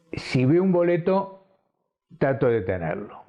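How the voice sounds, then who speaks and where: A man talks at a very slow pace in a fairly high voice. His pitch swings very widely. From Argentina, Buenos Aires. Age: 70s. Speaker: ticket collector. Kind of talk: interview testimony.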